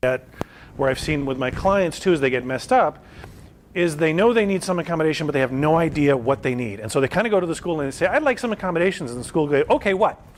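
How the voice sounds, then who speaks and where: With noticeable background noise around him, a man speaks in a fairly high pitch with lively intonation. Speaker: vocational rehabilitation counselor. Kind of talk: lecture. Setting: presentation to an audience. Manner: fast.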